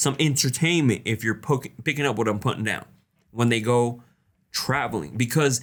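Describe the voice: The background stays quiet. The delivery is plain reading aloud, with pitch varying in an ordinary way.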